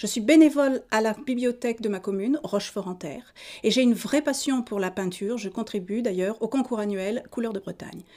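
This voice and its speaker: A woman's fairly high-pitched voice, dark and mellow in tone, at a fairly quick pace over a silent background in a very clean recording. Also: ordinary pitch variation. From Auvergne, France. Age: 50s. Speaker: political candidate. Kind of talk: campaign statement. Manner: formal.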